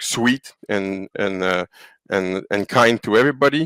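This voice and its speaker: A man speaks with a French accent and ordinary pitch variation. The sound is dry and close with no echo, very clean over a silent background. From Quebec. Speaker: AI company founder. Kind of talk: podcast interview. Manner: halting.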